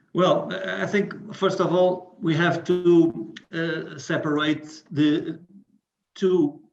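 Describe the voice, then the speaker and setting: This man talks at a very slow pace, with a Portuguese accent. His pitch is high and his intonation fairly even. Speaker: HR manager. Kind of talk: panel discussion.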